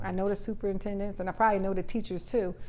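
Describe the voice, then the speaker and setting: A woman's medium-pitched, very fast speech in an American accent, monotone and flat, with audible room echo. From Trenton, New Jersey. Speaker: politician. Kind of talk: casual interview.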